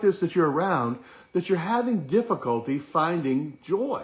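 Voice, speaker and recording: A man's high-pitched voice with very wide pitch swings, against a quiet background. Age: 60s. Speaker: chiropractic wellness teacher / live-stream host. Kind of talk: live-stream motivational talk. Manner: casual, conversational.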